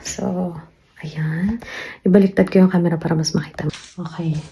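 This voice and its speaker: Fairly even intonation is heard against noticeable background noise. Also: woman. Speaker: vlogger. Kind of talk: casual vlog narration. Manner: quiet.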